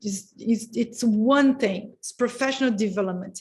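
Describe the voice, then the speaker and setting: A somewhat breathy woman's voice in a Portuguese accent, fairly high-pitched, with ordinary pitch movement and a fairly slow pace. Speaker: education policy expert. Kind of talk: panel discussion. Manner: halting, many fillers.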